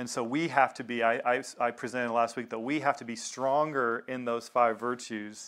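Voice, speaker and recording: In a Southern US accent, the speaker talks at a moderate pace on a very clean recording with a silent background. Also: man. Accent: Southern American. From US South. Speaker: pastor. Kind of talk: sermon. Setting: congregation meeting in a synagogue.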